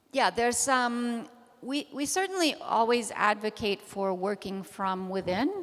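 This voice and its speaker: A woman with an American accent speaks at a fairly slow pace in a fairly high voice. Her pitch swings very widely over noticeable background noise. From United States. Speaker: activist, panel speaker. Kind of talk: panel discussion Q&A.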